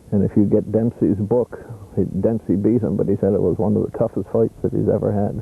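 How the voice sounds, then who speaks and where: A dark, mellow tone at a fairly quick pace, with fairly even intonation, very even loudness and vocal fry. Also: man, fairly low pitch for a man. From Canada, Prince Edward Island. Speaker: interviewee, family reunion member. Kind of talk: interview.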